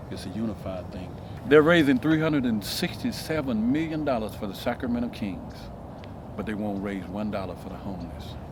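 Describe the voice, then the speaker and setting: A man of medium pitch speaks at a fairly quick pace with lively intonation and big swings in loudness, amid noticeable background noise and audible room echo. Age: 60s. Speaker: homeless former carpenter. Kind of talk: interview.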